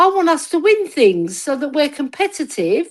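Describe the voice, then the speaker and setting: On a very clean recording with a silent background, a woman with a London accent speaks at a moderate pace. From north London, Tottenham. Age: 60s. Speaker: football fan. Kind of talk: casual chat. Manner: animated.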